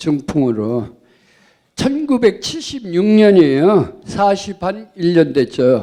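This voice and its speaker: A man's high-pitched, dark, mellow voice at a very slow pace, with very wide pitch swings. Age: 70s. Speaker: audience member. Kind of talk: audience question.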